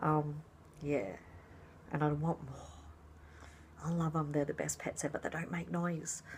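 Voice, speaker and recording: Long, frequent pauses break up a woman's speech at a fairly slow pace. Her voice is very deep and low in pitch, and somewhat breathy. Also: ordinary pitch variation. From Australia, rural New South Wales. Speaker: fabric dyer and craft vlogger. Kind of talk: casual vlog talk.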